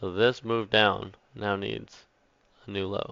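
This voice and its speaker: This man talks with a fairly low pitch and fairly even intonation. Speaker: day trading educator. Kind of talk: screen-share trading tutorial. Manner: casual with filler words.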